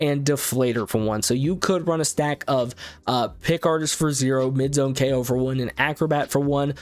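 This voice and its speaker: A man speaks at a fairly quick pace in an ordinary speaking voice, his medium pitch carried by fairly even intonation. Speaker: gaming YouTuber. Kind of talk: video game card review commentary. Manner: casual, filler words.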